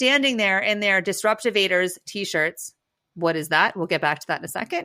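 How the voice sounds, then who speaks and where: On a very clean recording with a silent background, a woman speaks at medium pitch in a bright, sharp, animated tone, with ordinary pitch variation and big swings in loudness. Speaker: podcast co-host, social impact strategist. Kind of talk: casual chat. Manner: fast.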